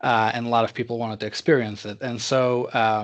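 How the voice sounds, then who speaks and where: A man's medium-pitched voice with a Russian accent and fairly even intonation. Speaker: tech executive. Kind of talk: interview. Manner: halting, many fillers.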